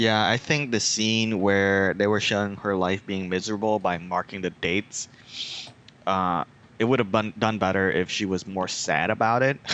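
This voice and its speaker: The speaker has a Vietnamese accent and a moderate pace. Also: man, fairly low pitch for a man. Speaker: podcast host. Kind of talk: casual chat. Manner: hesitant, many fillers.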